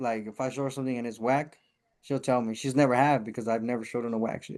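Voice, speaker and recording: Speaking very fast with a Spanish accent, a man holds a medium pitch in a monotone, flat delivery. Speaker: rapper and taco business owner. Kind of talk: casual chat.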